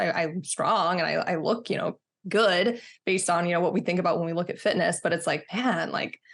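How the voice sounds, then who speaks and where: A woman with an American accent uses an ordinary speaking voice, fairly low in pitch with ordinary pitch variation. She moves at a fairly quick pace, and the recording is very clean with a silent background. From Texas. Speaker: fitness coach, former bodybuilder. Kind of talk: casual interview chat.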